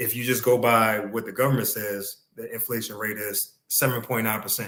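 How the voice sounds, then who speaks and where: At a moderate pace, a man with a plain, everyday voice speaks in fairly even intonation. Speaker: podcast co-host. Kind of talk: casual podcast discussion explaining crypto.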